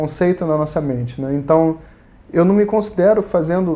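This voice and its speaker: Here a man speaks with a high pitch. His pace is moderate, and his pitch variation is ordinary. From Rio de Janeiro, Brazil. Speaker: Vedanta teacher. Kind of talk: spiritual lecture. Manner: casual, conversational.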